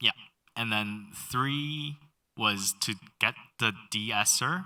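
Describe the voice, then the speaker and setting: A man speaks at a very slow pace. His tone is bright and sharp, on a very clean recording with a silent background. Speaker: audio mixing instructor. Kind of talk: tutorial. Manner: halting, many fillers.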